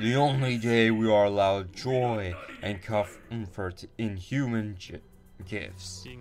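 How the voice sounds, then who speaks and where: Clear music plays in the background as a booming, put-on character voice speaks at a fairly slow pace. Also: man, fairly low pitch for a man. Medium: solo performance. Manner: grandiose, booming laughter.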